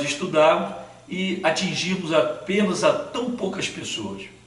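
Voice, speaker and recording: Audible room echo and noticeable background noise surround this man's voice. He speaks at a moderate pace with a high pitch and lively intonation. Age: 60s. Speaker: Sunday school teacher. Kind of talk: channel introduction talk.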